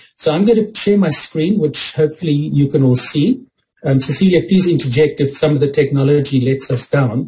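The man's loudness stays very even. He speaks at a fairly quick pace with ordinary pitch variation. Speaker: conference presenter. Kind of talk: lecture. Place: home room. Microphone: video call.

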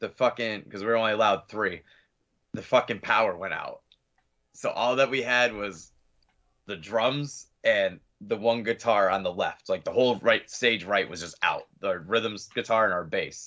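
An American accent carries a bright, sharp tone at a moderate pace, with ordinary pitch variation. The background is quiet. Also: man. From Pennsylvania, Scranton; Pennsylvania. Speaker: metal band vocalist; guest. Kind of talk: casual interview chat. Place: home room.

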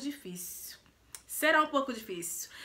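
Using a raised, projected voice in a Brazilian accent, a woman speaks at a high pitch with very wide pitch swings and a fairly slow pace. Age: 20s. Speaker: lifestyle and beauty vlogger; beauty vlogger. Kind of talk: casual vlog introduction. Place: home room. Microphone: phone near.

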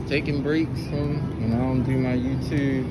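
A man talks over loud background noise. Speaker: shopper vlogger. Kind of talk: casual vlog chat. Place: shop. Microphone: phone near.

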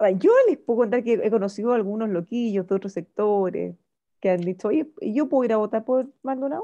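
A woman with a normal speaking voice talks at a fairly quick pace, fairly high in pitch, with ordinary pitch variation. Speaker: radio host. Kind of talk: casual chat.

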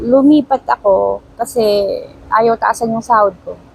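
Against noticeable background noise, a woman speaks at a fairly high pitch with ordinary pitch variation, in a dry, close sound with no echo. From Baguio, Philippines. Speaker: driver, former domestic helper. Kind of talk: casual interview. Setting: outdoors under a bridge.

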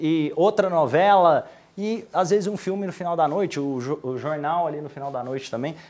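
This man talks at a moderate pace, pitched high, with ordinary pitch variation. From Brazil. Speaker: business mentor; instructor. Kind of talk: tutorial. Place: home room. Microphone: lapel.

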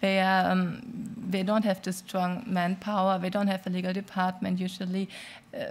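Somewhat breathy and at a medium pitch, a woman talks in a monotone, flat intonation with a German accent. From Germany. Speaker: business association legal advisor; panelist. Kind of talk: panel discussion. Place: hall. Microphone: podium.

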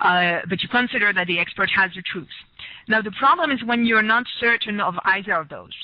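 A woman speaks with a French accent. Her medium-pitched voice has lively intonation. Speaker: researcher. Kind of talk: lecture. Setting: video call. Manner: halting.

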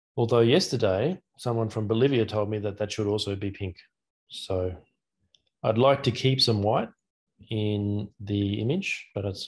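Speaking at a moderate pace with long, frequent pauses, a man has a somewhat breathy, fairly low voice against a quiet background. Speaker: academic speaker. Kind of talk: lecture. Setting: video call. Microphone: video call.

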